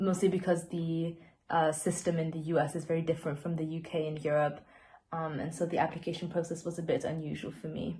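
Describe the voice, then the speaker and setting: The voice is monotone, with flat intonation and a somewhat breathy quality. It moves at a very fast pace. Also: woman, fairly low pitch for a woman. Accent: non-native. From Austria. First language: not English. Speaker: university student. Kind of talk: panel testimony.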